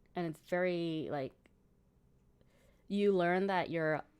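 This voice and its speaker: On a very clean recording with a silent background, a woman with a Cantonese accent speaks very slowly in a fairly low pitch with monotone, flat intonation. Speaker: gaming streamer. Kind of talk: casual chat. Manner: halting.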